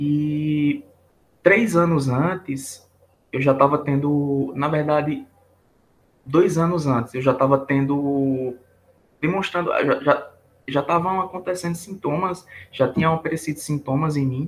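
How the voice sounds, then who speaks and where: A man with a fairly high pitch speaks with long, frequent pauses. His voice is somewhat breathy, and his pitch varies in an ordinary way. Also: fairly slow pace. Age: 20s. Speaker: engineering student, burnout patient. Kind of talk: testimony interview.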